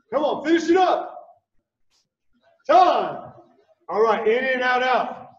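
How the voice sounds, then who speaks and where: Over a quiet background with audible room echo, a man talks at a very slow pace in an extremely high pitch, his tone upbeat and his intonation lively. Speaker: fitness coach. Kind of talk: live-streamed workout class, calling out moves and timing cues. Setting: livestream video with viewer chat. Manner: clipped, rhythmic drill-style commands, repeated for pacing; upbeat, encouraging coach energy with cheers. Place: gym.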